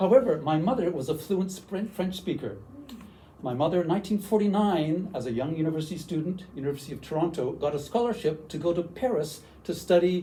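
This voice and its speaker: A man at a fairly quick pace and fairly high pitch, with lively intonation and a dark, mellow tone. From western Canada, Vancouver. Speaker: university language teacher, workshop presenter. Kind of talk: workshop presentation. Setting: room with audience.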